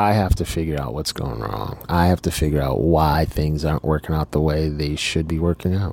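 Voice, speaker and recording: With noticeable background noise behind him, a man with a very deep, low pitch speaks at a fairly quick pace, with ordinary pitch variation and hardly any pauses. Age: 40s. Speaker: podcast host. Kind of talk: personal monologue. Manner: halting.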